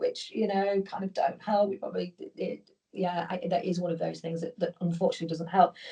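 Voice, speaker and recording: In a British accent, a woman speaks at a medium pitch, somewhat breathy, with a dark, mellow tone. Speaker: business leader. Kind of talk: interview. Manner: fast; animated.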